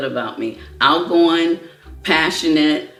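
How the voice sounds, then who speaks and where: Over noticeable background noise, a woman with an American accent speaks at a fairly slow pace with a fairly low pitch and fairly even intonation. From US Midwest, Chicago. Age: 70s. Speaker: cancer survivor, social worker. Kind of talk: personal testimony interview.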